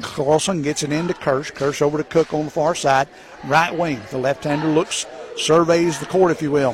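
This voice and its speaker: Noticeable background noise sits behind a man whose fairly high voice keeps a fairly even intonation. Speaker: color commentator and game announcer. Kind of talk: live play-by-play sports commentary. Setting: courtside at a high school gym broadcast. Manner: rapid-fire, clipped play-by-play delivery, rattling off names and scores.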